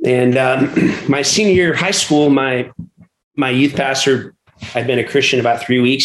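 A man speaks at a moderate pace with an American accent, his pitch medium. His is an unremarkable speaking voice. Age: 40s. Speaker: pastor and church planter. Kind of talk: interview conversation.

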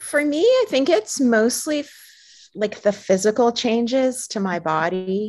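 Speaking with an ordinary speaking voice, a woman keeps a fairly high pitch and lively intonation. The recording is very clean, with a silent background. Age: 50s. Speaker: artist and illustrator. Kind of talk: panel discussion.

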